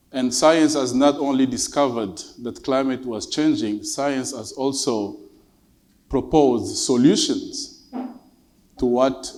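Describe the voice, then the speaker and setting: A man talks at a very slow pace, and audible room echo hangs on his words. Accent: Congolese. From Democratic Republic of the Congo. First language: French. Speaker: government climate advisor. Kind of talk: conference speech. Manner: formal.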